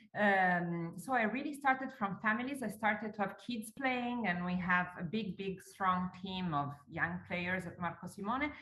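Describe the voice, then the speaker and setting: With an Italian accent, a woman at a medium pitch talks at a moderate pace with lively intonation. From Italy. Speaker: golf course owner. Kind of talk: interview.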